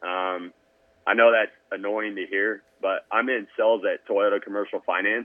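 This man's fairly low voice holds a monotone, flat intonation as he talks at a moderate pace. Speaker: motocross tech company co-owner. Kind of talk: casual interview chat. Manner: loud.

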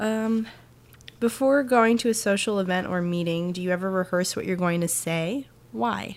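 This woman has a plain, everyday voice at a medium pitch, with an American accent. Her pitch varies in an ordinary way, and she keeps a moderate pace. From New Jersey. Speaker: sketch comedy writer. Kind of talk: casual conversation.

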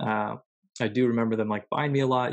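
With an American accent, a man speaks at medium pitch in a monotone, flat intonation. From US Midwest. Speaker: author and teacher. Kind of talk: casual interview.

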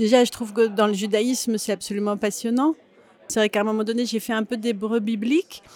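A woman's normal speaking voice, fairly high in pitch, with fairly even intonation. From France, Grenoble. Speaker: actress and author. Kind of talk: interview. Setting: café.

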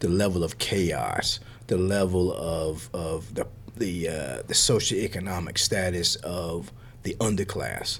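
A man with an American accent speaks at a very deep, low pitch, with vocal fry. His pace is fairly slow and his pitch variation ordinary. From US South. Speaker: professor. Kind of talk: interview. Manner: halting, with fillers and repetitions.

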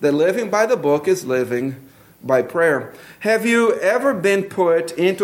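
Speaking at a moderate pace with lively intonation, a man with a high voice has a Brazilian accent. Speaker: pastor. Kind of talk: sermon. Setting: church.

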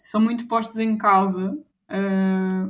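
A woman talks in a medium pitch. Her voice is somewhat breathy. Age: 20s. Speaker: anti-bullying association president. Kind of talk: interview.

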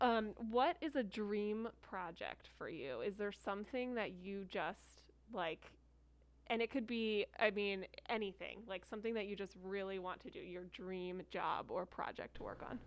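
Speaking with an American accent, a woman uses a normal speaking voice at a medium pitch, with ordinary pitch variation and a fairly slow pace. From New Jersey. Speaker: opera company education director, podcast co-host. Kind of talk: casual interview chat.

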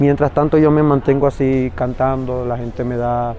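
Noticeable background noise accompanies a man speaking at a medium pitch with fairly even intonation. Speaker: migrant street singer. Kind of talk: field interview testimony.

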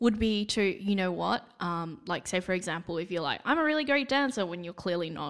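Lively intonation at a fairly quick pace in an Australian accent, on a very clean recording with a silent background. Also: woman, medium pitch for a woman. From Perth, Western Australia. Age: 20s. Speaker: retail store manager. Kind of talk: casual chat.

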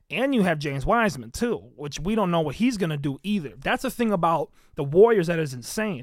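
A man speaks in an animated tone at a high pitch, with very wide pitch swings. The recording is very clean, with a silent background. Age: 20s. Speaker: sports podcast host. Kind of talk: casual solo commentary.

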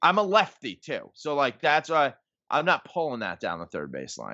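A man speaks with an American accent. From New York, the Bronx. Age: 30s. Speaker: sports blogger and comedian. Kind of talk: casual chat.

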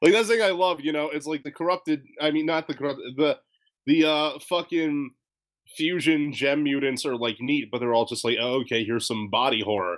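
Using lively intonation at a fairly quick pace, a man with a fairly high pitch has an unremarkable speaking voice. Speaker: podcast host. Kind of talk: casual chat.

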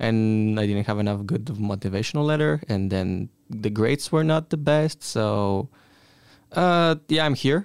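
A man with a Bulgarian accent talks at a moderate pace with lively intonation. The recording is very clean, with a silent background. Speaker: exchange student. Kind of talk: casual chat.

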